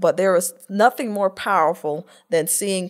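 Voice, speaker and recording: Speaking with an American accent in a normal speaking voice, a woman of medium pitch goes at a fairly slow pace with ordinary pitch variation, recorded very cleanly against a silent background. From North Florida (small town near Tallahassee). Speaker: workforce development executive. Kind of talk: interview.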